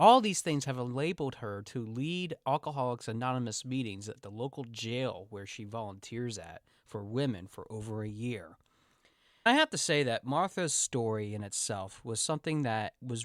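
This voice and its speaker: A man's normal speaking voice, a normal speaking voice at medium pitch with ordinary variation and moderate pace, on a very clean recording with a silent background. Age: 30s. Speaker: podcast host and coach. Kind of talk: podcast interview.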